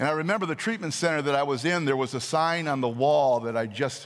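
Talking at a fairly quick pace, a man has an ordinary speaking voice, fairly high in pitch, with ordinary pitch variation. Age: 60s. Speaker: pastor. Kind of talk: sermon.

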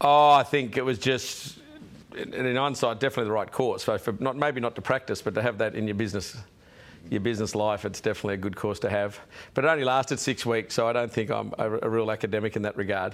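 Here a man with an Australian accent talks at a very fast pace. His pitch is medium with ordinary variation, and the recording is very clean with a silent background. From Sydney, Australia. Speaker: businessman. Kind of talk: interview.

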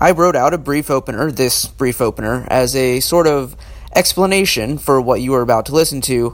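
Through noticeable background noise, a man speaks at a fairly quick pace with a fairly high pitch and ordinary pitch variation. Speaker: podcast host. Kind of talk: scripted narration. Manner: imitating another podcaster's speech pattern.

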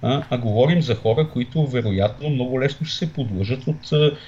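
A man's voice is somewhat breathy. His pitch shows ordinary variation. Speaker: political scientist. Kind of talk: political interview. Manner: hesitant, many fillers.

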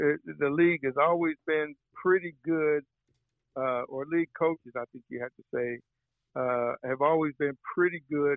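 A man with an ordinary speaking voice at a fairly high pitch, a fairly slow pace, fairly even intonation and big swings in loudness. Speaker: sports journalist. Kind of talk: casual interview.

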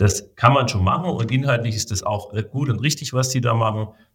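Somewhat breathy, a man talks on a very clean recording with a silent background. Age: 40s. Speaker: business association president and management consultant. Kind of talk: interview. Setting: studio.

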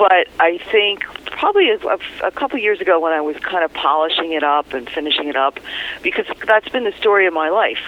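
A woman talks at a very fast pace against noticeable background noise. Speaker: former radio news reporter, author. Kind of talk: interview. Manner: laughs easily.

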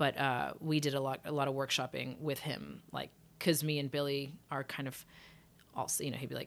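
A woman's very deep, low voice, flat and monotone with vocal fry, at a fairly quick pace on a very clean recording with a silent background. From England. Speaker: singer. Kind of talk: casual interview chat.

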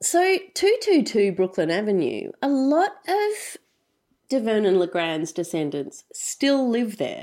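On a very clean recording with a silent background, a woman with a strong Australian accent speaks at a very slow pace in a dark, mellow tone, her fairly high pitch making very wide swings. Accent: broad Australian. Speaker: podcast host and producer. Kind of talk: casual storytelling chat.

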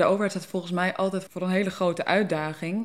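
A woman with an ordinary speaking voice, at a fairly quick pace and with fairly even intonation. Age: 20s. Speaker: policy researcher, philosopher. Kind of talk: podcast interview, conversation.

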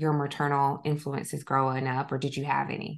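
Flat and monotone, a woman with a Southern US accent speaks at a very deep, low pitch over a quiet background. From US South, South Georgia. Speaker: podcast host, licensed counselor. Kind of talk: casual interview chat.

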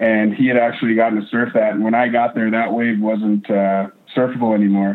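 Monotone and flat, a man speaks at a medium pitch and a fairly quick pace, his loudness very even. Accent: American. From North Idaho. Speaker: whitewater park wave shaper. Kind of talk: interview.

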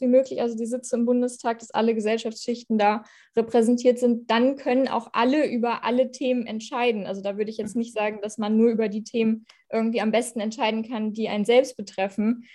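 Fairly high-pitched female voice at a moderate pace, with monotone, flat intonation. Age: 20s. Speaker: politician. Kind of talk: interview. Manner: hesitant, many fillers.

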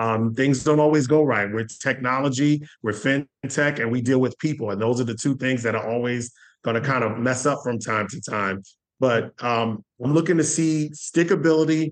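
A man's ordinary speaking voice at a medium pitch, with ordinary pitch variation and a moderate pace. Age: 40s. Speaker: payment industry sales executive. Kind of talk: interview.

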